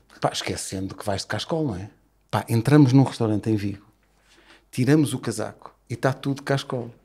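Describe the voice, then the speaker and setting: A somewhat breathy man talks at a fairly quick pace. His pitch varies in an ordinary way. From Portugal. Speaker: radio host and football podcaster; radio host, football podcaster. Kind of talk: casual chat. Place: studio. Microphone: studio mic.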